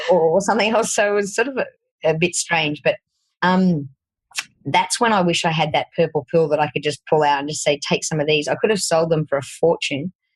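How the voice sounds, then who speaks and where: Here a woman speaks with a strong Australian accent. Her pitch is fairly low, with ordinary variation. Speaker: fitness coach and podcast host. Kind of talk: podcast interview.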